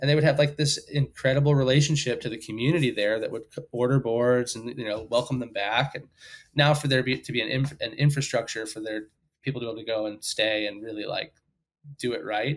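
A man with an American accent at a very fast pace, his intonation fairly even, against a quiet background. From US South, Sarasota, Florida; Florida. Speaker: surf media editor and producer; guest. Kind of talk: casual interview. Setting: at home, remote call. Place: home room. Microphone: headset.

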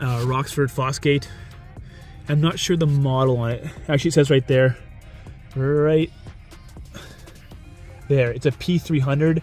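Fairly even intonation from a man at a fairly slow pace, dry sound with no echo and faint music in the background. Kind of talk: casual tutorial. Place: car.

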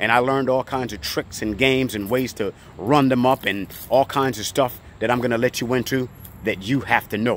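A man talks at a fairly quick pace with ordinary pitch variation. The sound is dry with no echo, and there is light background noise. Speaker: storage auction buyer and video creator. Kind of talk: pitchman sales talk, coaching viewers. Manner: emphatic, direct, boastful; repetitive, insistent. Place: street. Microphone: phone near.

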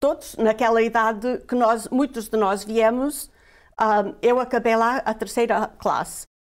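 Over a quiet background, a woman with a fairly high pitch talks at a fairly slow pace, her loudness very even and her intonation fairly even. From Portugal (Guarda district village), emigrated to US at 11; Portugal. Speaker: immigrant guest sharing life story; guest. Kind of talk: interview, personal testimony. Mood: warm, reminiscing. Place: studio. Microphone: lapel.

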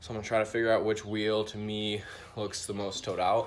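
With light background noise behind him, a man with a fairly low pitch talks at a moderate pace. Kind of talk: casual tutorial vlog. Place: garage. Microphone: phone near.

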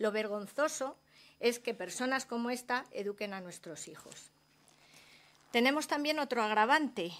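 Speaking at a fairly slow pace with high pitch and lively intonation, a woman shows big swings in loudness and takes long, frequent pauses. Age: 50s. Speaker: hotel housekeeper and trade unionist. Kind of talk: parliamentary testimony. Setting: senate committee hearing.

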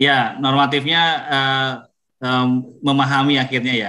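The man's voice has a bright, sharp tone, heard in a quiet setting. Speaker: government official. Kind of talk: official remarks. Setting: video call. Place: home room. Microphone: video call.

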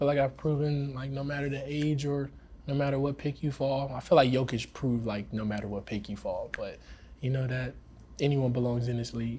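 A man's dark, mellow, somewhat breathy voice in an American accent, fairly quick and fairly even in intonation, with light background noise. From South Carolina. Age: young (19). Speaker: professional basketball player. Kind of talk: casual interview. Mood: relaxed, smiling, reflective. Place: meeting room.

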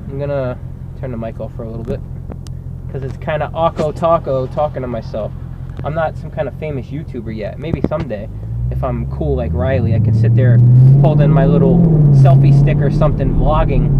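Over loud background noise, a man talks at a fairly quick pace with ordinary pitch variation in a dry sound with no echo. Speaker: vlogger. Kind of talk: casual vlog chat. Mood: relaxed, joking. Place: car. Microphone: camera far.

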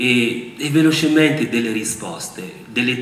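A man in a room with audible echo and light background noise. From Republic of the Congo. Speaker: university lecturer and former politician; university lecturer, former politician. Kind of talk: public talk. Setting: auditorium with audience. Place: hall. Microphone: podium.

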